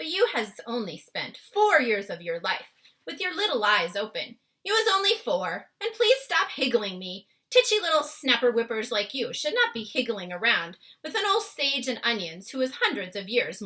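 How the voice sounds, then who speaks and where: A woman does a put-on character voice at a high pitch with very wide pitch swings. Her pace is moderate. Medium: read story. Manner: ungrammatical, word-mangling, warm.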